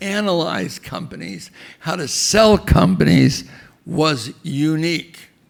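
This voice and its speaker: A man at a fairly slow pace, fairly high in pitch with lively intonation, over noticeable background noise. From immigrant to the US from age five. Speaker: biotech entrepreneur. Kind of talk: tribute speech.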